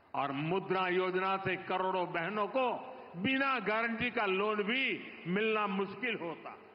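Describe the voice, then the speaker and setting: High-pitched male speech with ordinary pitch variation amid noticeable background noise. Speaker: politician, prime minister. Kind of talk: political speech at public rally.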